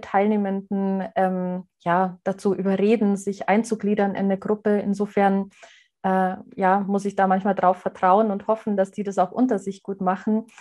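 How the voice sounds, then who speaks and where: A woman with a slight Bavarian accent, medium pitch, dark and mellow tone, monotone and flat intonation and a moderate pace, over a quiet background. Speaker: adult education trainer. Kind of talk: interview.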